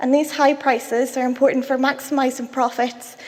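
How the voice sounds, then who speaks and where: A woman with a Belfast accent, over noticeable background noise. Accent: Belfast, Northern Irish. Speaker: cancer researcher. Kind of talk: conference talk.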